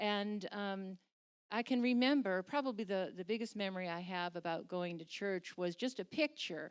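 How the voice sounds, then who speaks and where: At a moderate pace, a woman speaks with a medium pitch and ordinary pitch variation. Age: 60s. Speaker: church member sharing faith story. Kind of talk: testimony. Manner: halting.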